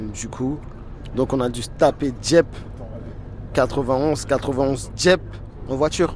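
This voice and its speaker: Over noticeable background noise, a man speaks at a very slow pace with fairly even intonation and long, frequent pauses. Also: medium pitch for a man. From Paris suburbs, Seine-Saint-Denis. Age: 20s. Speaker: gambler. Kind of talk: testimony. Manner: casual.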